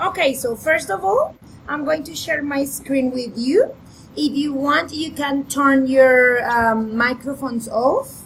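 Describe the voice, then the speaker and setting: A woman speaks at a very slow pace. Her pitch is high. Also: ordinary pitch variation. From Colombia, Bogota. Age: 30s. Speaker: English teacher. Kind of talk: online class.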